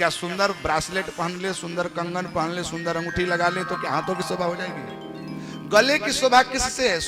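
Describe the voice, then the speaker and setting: Over music in the background, a high-pitched man speaks in an animated tone with ordinary pitch variation and hardly any pauses. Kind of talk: devotional religious discourse to a live audience. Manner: animated, rhetorical questioning, interacts with audience.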